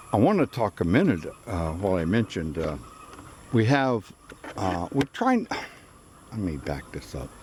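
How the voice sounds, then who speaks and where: With lively intonation and a moderate pace, a man speaks while noticeable background noise carries on. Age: 70s. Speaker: farmer. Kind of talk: casual video narration. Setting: outdoors. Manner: halting, many fillers.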